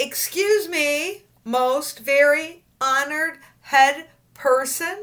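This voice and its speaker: A put-on character voice at a very slow pace. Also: woman, high pitch for a woman. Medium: read story. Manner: earnest, overly formal.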